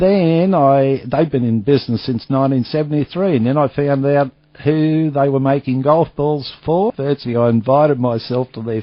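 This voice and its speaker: With an Australian accent, a man speaks at a moderate pace. His pitch is fairly high and varies in an ordinary way. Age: 60s. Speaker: golf ball businessman. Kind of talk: interview. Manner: casual, chatty.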